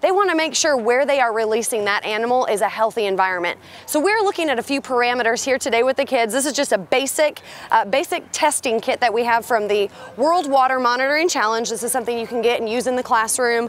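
A woman's high-pitched voice at a very fast pace, dry with no echo. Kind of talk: interview answer. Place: waterside.

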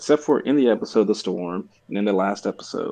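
A man speaks at a fairly quick pace with lively intonation, the background quiet. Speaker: podcast co-host. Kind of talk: casual podcast discussion. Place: home room. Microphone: video call.

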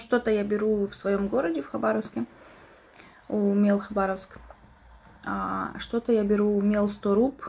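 Over noticeable background noise, a woman talks at a fairly slow pace in a medium pitch, leaving long, frequent pauses. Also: fairly even intonation. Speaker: ASMR streamer. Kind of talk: casual live-stream chat with eating sounds.

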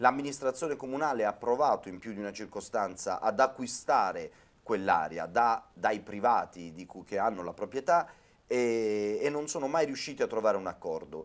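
A plain, everyday voice, with lively intonation and big swings in loudness, moves at a moderate pace. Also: man, medium pitch for a man. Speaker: city councillor. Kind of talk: debate discussion. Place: studio. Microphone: lapel.

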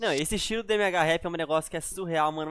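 Over a quiet background, a man speaks with ordinary pitch variation. The sound is dry, with no echo. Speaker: YouTube reactor. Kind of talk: casual chat. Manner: animated. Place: home room. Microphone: headset.

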